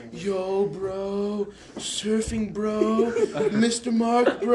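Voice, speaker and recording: Against clear background noise, a put-on character voice with a fairly high pitch plays up a Californian accent. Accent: California. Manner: laid-back.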